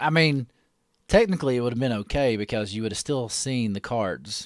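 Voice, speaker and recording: Speaking with a Southern US accent, a man keeps a medium pitch and a fairly quick pace. His pitch variation is ordinary, and the recording is very clean with a silent background. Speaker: card break livestream host. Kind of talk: casual livestream chat. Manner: casual, many fillers.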